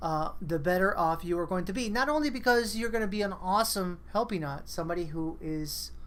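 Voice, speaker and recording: A woman's fairly low, vocal-fried voice at a fairly quick pace, with audible room echo. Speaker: online community meeting host. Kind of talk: casual group video chat. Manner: animated.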